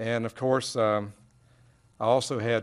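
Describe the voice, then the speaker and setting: The voice belongs to a man. He speaks at a fairly slow pace. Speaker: council member. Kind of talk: council meeting remarks. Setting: council chamber. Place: hall. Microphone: podium.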